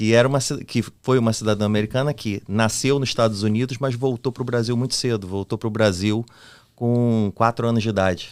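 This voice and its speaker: With a normal speaking voice, a man talks at a fairly quick pace, medium pitch and fairly even intonation, recorded very cleanly against a silent background. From Brazil. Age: 40s. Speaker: podcast co-host. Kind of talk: casual chat.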